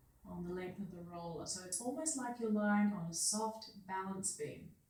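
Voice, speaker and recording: Noticeable background noise sits behind a woman with an Australian accent. She speaks at a medium pitch with ordinary pitch variation. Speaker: physiotherapist and Feldenkrais practitioner. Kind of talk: guided movement lesson instruction. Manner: slow, calm.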